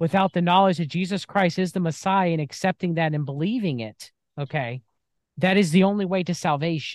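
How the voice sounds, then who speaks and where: With an American accent and a high pitch, a man talks at a moderate pace with lively intonation, recorded with a dry, close sound with no echo against a quiet background. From United States. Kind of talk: religious debate.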